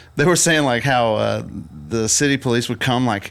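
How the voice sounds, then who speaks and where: A man with a medium pitch speaks at a fairly quick pace. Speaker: podcast co-host, photographer. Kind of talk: casual chat.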